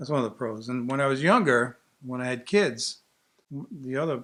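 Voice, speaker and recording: At a moderate pace and medium pitch, a man speaks with an American accent. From Long Island, New York. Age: 60s. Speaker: artist and art teacher. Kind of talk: personal interview monologue. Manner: casual, enthusiastic.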